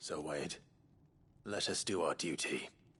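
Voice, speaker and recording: A man's raspy, put-on character voice, very deep and low, at a fairly slow pace. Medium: video game. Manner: measured, formal.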